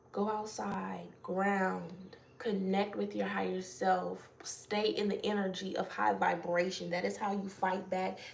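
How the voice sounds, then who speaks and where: A fairly slow pace amid noticeable background noise. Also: woman. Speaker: spiritual channeler. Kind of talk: spiritual message reading. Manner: casual; loud.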